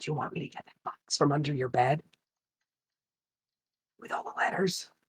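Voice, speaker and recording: A man's raspy, put-on character voice, fairly high in pitch, at a moderate pace with ordinary pitch variation. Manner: lowered voice.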